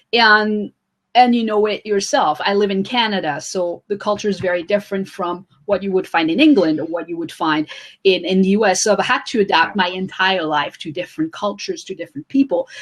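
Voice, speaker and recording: The speaker has a French accent. Pitch variation is ordinary. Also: woman, medium pitch for a woman, fairly quick pace. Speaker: author and social media coach. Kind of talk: interview.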